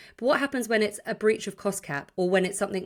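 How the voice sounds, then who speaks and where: A woman with a British accent speaks in an animated tone with ordinary pitch variation. The recording is very clean, with a silent background. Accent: sounds British despite being Irish. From Ireland. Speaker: sports journalist and podcast host. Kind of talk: podcast discussion.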